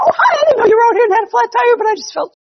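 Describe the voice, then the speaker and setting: A put-on character voice races along at a very fast pace and an extremely high pitch. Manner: mockingly girly.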